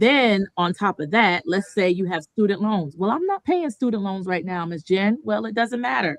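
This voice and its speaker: Recorded with a dry, close sound and no echo, a woman talks at a moderate pace. She has an unremarkable speaking voice of medium pitch, with lively intonation. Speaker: mortgage lending presenter. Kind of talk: seminar presentation. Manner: conversational with filler words.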